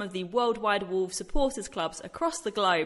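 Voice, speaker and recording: At a moderate pace, a woman with a plain, everyday voice speaks at medium pitch with lively intonation. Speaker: radio host. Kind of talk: casual interview.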